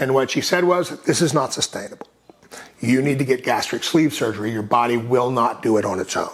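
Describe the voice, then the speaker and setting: A man with an American accent and a fairly high pitch talks fairly quickly with lively intonation, over noticeable background noise. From Texas, Austin. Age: 60s. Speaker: recovery advocate. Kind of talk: casual interview conversation.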